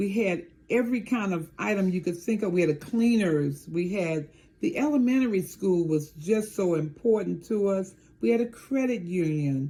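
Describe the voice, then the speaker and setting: A woman with an American accent speaks at a moderate pace and medium pitch, her tone dark and mellow and somewhat breathy. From Maryland, near Washington DC. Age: 70s. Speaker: town mayor. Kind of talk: interview.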